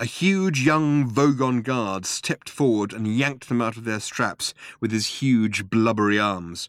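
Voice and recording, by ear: Natural-voiced reading aloud with ordinary pitch movement.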